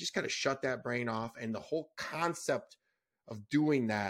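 A normal speaking voice, with ordinary pitch variation, proceeds at a moderate pace in a very clean recording against a silent background. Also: man. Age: 40s. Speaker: entrepreneur and author. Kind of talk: casual chat.

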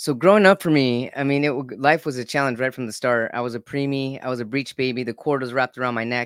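Talking at a very fast pace with hardly any pauses, a man holds a medium pitch with ordinary pitch variation. The sound is dry and close with no echo, on a very clean recording with a silent background. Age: 40s. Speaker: psychologist, author and podcaster. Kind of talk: interview.

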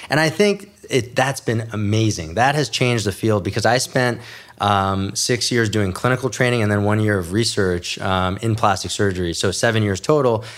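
A man with an American accent and an unremarkable speaking voice talks at a moderate pace in a fairly low pitch, with ordinary pitch variation, very even loudness and hardly any pauses. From New York City and New Jersey. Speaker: plastic surgeon. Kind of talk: interview.

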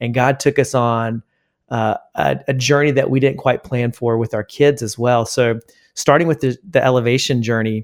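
An ordinary speaking voice from a man with an American accent, medium in pitch, at a moderate pace with fairly even intonation, in a dry, close, very clean recording with no echo and a silent background. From South Carolina, US South. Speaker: worship leader and author. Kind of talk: interview.

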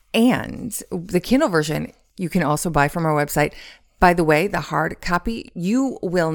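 With an unremarkable speaking voice, a woman talks at a fairly low pitch and a moderate pace, with ordinary pitch variation. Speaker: podcast co-host. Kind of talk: promotional read.

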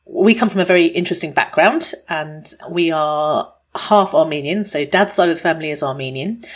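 With hardly any pauses, a woman speaks in a fairly low pitch with ordinary pitch variation. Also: moderate pace. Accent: British. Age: 40s. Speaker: doctor and podcast host. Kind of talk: casual chat.

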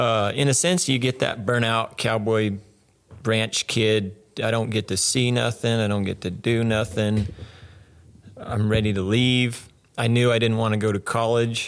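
A man with an American accent and a normal speaking voice, medium in pitch, at a fairly slow pace and very even loudness. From Arizona. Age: 30s. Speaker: rodeo cowboy. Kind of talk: casual interview.

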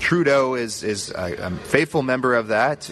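There is noticeable background noise as a man speaks with a Maritime Canadian accent. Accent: Canadian (Maritimes). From Nova Scotia, Canada. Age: 20s. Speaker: youth pastor. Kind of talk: podcast interview. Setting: convention center booth.

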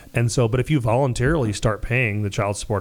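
Ordinary pitch variation and a very fast pace from a man. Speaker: mortgage specialist. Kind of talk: casual interview. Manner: loud; energetic.

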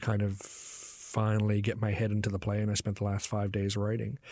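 A fairly low-pitched man with a Newfoundland accent, speaking at a fairly quick pace. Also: very clean recording, silent background. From Newfoundland, Canada. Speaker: playwright. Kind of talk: interview.

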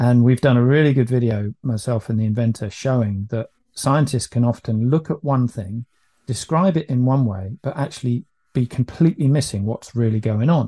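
A man with a British accent speaks at a moderate pace in a dark, mellow tone, his voice dry and close with no echo over a quiet background. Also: medium pitch for a man, ordinary pitch variation. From UK. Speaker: business owner selling EMF protection product. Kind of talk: podcast interview. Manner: hesitant, many fillers.

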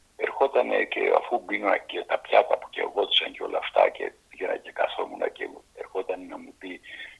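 A man talks at a moderate pace with big swings in loudness. Noticeable background noise is present. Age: 80s+. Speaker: actor. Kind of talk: interview.

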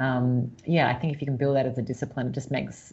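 A woman speaks very fast in a very deep, low voice with an Australian accent. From Australia, Sydney. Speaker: entrepreneur and author. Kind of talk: interview. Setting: remote call.

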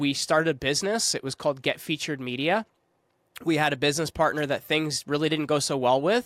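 A man with fairly high pitch and ordinary pitch variation has an unremarkable speaking voice, captured in a very clean recording with a silent background and a dry, close sound with no echo. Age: 30s. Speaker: podcast agency founder. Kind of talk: casual chat.

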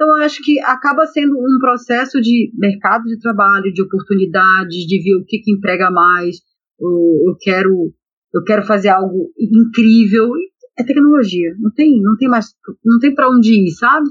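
Her voice is fairly high and somewhat breathy, with lively intonation. The woman keeps a moderate pace. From Brazil, Belém (Pará). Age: 40s. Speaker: electrical engineer. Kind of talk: interview.

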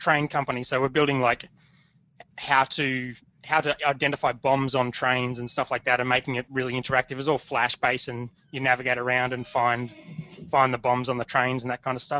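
A man speaks at a fairly quick pace. He has an Australian accent. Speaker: startup founder. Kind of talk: interview. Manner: casual.

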